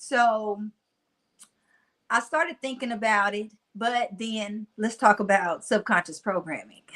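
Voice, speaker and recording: Over a very clean recording with a silent background, a woman with a Mississippi accent speaks fairly slowly in a fairly high pitch and a bright, sharp tone, using ordinary pitch variation and long, frequent pauses. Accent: Mississippi country twang. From US South, Mississippi-style upbringing in Nashville. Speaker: motivational speaker. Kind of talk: casual interview chat.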